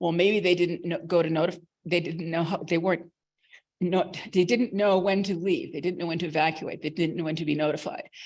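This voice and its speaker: A woman's fairly low voice with an American accent at a fairly quick pace. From Boston, US. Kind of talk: conference presentation. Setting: conference room with audience. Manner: fast; animated.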